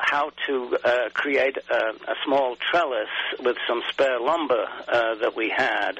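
A man with an English accent speaks very slowly at a medium pitch, his intonation fairly even, amid noticeable background noise. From England. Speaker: garden writer and photographer. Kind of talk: interview.

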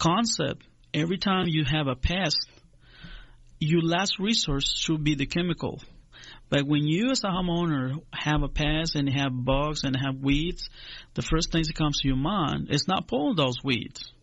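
With a Spanish accent, a man speaks in a fairly high pitch. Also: ordinary pitch variation, moderate pace. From Honduras. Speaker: agricultural extension agent. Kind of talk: radio interview.

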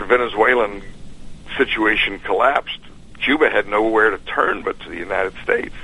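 A man with a fairly low voice talks at a moderate speed while noticeable noise runs behind him. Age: 70s. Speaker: car show guest and author. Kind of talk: casual radio interview. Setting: phone call.

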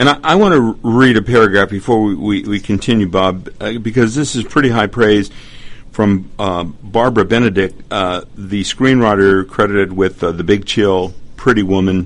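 A man at a fairly low pitch and moderate pace, with ordinary pitch variation. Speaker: radio host. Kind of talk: radio interview. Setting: studio. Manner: formal, measured.

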